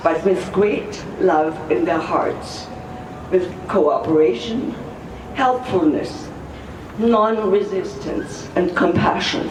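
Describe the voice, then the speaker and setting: Noticeable background noise is present throughout. A woman talks at a very slow pace. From Germany. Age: 80s+. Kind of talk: speech at a rally. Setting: outdoors.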